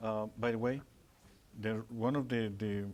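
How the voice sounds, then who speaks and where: A man's medium-pitched voice in a Spanish accent, monotone and flat in intonation, at a moderate pace. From Mexico, Puebla. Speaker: Spanish teacher. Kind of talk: Q&A after a presentation. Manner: halting, with repeated words.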